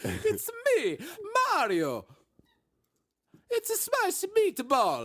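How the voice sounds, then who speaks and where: Someone uses a put-on character voice at an extremely high pitch, going very slowly with long, frequent pauses. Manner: cartoonish.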